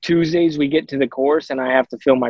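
This man has a medium pitch and a Southwestern US accent, speaking at a fairly quick pace with fairly even intonation in a dry, close sound with no echo. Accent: American (Southwest). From Arizona. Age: 30s. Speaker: professional disc golfer. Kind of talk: casual interview.

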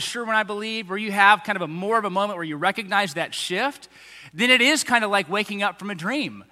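A man with an American accent, high-pitched, raised and projected, bright and sharp in tone, at a fairly quick pace. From Texas, Tomball area. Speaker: pastor. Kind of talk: sermon. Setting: church.

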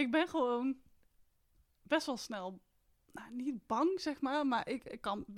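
A woman's voice with ordinary pitch variation, on a very clean recording with a silent background. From Netherlands, North Brabant (Etten-Leur). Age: 30s. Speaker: mindful walking coach and hiker. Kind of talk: casual interview conversation.

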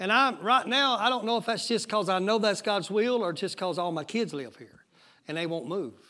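A man's raised, projected voice in a Southern US accent, high-pitched, bright and sharp in tone, animated, with lively intonation at a moderate pace. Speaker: pastor. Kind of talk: sermon. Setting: church.

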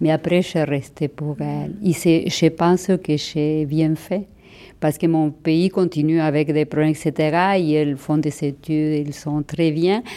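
Very slowly and with fairly even intonation, a woman speaks with an Argentine accent in a very deep, low pitch and a dark, mellow tone. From Argentina. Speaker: immigrant, former teacher. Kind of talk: interview testimony.

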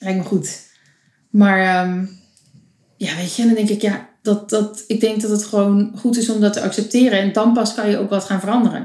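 Monotone, flat intonation and a somewhat breathy voice. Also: woman, medium pitch for a woman, moderate pace. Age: 20s. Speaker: photographer. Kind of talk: casual chat.

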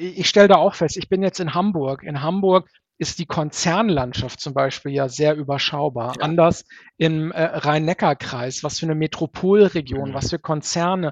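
A man's fairly high voice moves at a moderate pace, showing ordinary pitch variation. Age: 30s. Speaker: diversity recruiting consultant. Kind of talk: interview. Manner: hesitant fillers.

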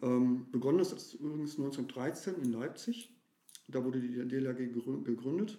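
A normal speaking voice from a man, fairly high in pitch with ordinary pitch variation. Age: 40s. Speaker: water rescue volunteer and social worker. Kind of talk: interview.

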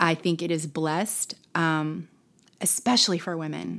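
Moderately paced female speech in an ordinary speaking voice, fairly low in pitch, on a very clean recording with a silent background. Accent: American. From Texas, Plano (Dallas area). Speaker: former TV news anchor and influencer. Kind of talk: casual interview chat.

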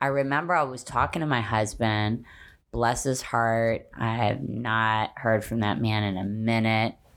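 Very clean, with a silent background, this recording features a woman with a very deep, low pitch. She speaks at a moderate pace with ordinary pitch variation. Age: 40s. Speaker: podcast host and fitness professional. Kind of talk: casual chat.

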